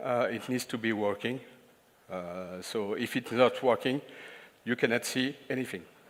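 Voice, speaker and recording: Speaking at a fairly slow pace with a French accent, a man lets his pitch swing very widely. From France. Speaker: IT consultant and trainer. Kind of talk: conference talk. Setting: stage with audience. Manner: halting, many filler sounds.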